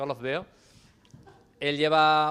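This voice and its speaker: This is a man speaking. His voice has a fairly high pitch. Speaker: panel moderator. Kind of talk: panel introduction. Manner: fast.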